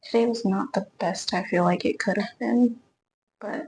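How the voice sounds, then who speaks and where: Woman at a fairly high pitch, with ordinary pitch variation and a fairly slow pace. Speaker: vlogger and golf course beverage cart worker. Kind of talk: casual vlog. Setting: ladies' locker room at work.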